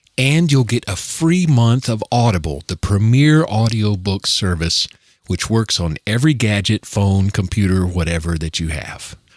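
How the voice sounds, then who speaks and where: Lively in intonation, a man with a normal speaking voice and a fairly low pitch talks at a moderate pace in a very clean recording with a silent background. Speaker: producer. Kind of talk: podcast intro read.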